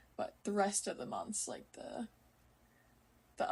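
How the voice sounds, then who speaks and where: This voice is a woman's. She talks in an American accent. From US military base in Okinawa, Japan. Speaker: podcast host, college volleyball player. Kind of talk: casual solo podcast talk. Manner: casual, many fillers (um, like).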